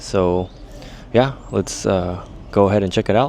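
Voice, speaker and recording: A man's fairly low pitch over music in the background. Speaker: travel vlogger. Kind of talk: casual vlog talk on location. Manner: hesitant, many fillers.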